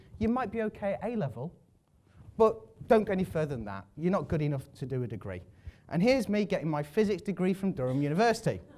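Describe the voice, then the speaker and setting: A man with an English accent, high in pitch, very fast in pace, with very wide pitch swings and a dark, mellow tone. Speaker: public speaker. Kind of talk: talk to an audience. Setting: stage with audience.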